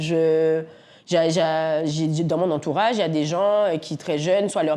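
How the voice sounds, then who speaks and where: A woman speaks with a very deep, low pitch and a dark, mellow tone. The background is quiet. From Guadeloupe. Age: 40s. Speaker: entrepreneur, café owner. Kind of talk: interview. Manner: energetic; halting, many fillers.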